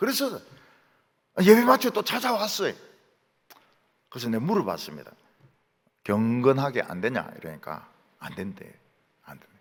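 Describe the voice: With a Gyeongsang accent, a man speaks at a moderate pace, leaving long, frequent pauses as his loudness swings widely. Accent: Gyeongsang regional Korean.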